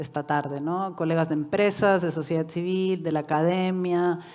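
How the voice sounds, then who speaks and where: The delivery is monotone and flat at a moderate pace, with a quiet background behind it. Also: woman. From Uruguay and Mexico. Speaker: UN human rights expert. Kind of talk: lecture. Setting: conference hall with online audience.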